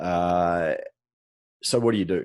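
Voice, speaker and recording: With an Australian accent, a man speaks in a very deep, low pitch. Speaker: podcast co-host, soft tissue therapist. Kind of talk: casual chat. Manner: relaxed, with frequent fillers.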